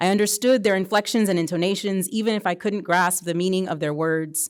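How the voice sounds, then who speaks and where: With a Spanish accent, a woman talks at a fairly quick pace in a medium pitch with fairly even intonation, on a very clean recording with a silent background. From US military bases (Louisiana, Germany, Tennessee). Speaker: author. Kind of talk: reading aloud.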